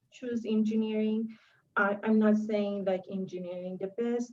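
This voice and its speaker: A woman with a non-native accent speaks at a fairly high pitch. Her tone is dark and mellow, and her intonation is monotone and flat. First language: not English. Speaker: engineer, panelist. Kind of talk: panel talk. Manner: halting, many fillers.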